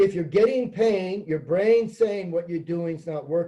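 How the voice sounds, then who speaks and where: Speaking at a fairly slow pace, a man has a high pitch and a dark, mellow tone. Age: 70s. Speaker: sport psychologist. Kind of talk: presentation. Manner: conversational, anecdotal.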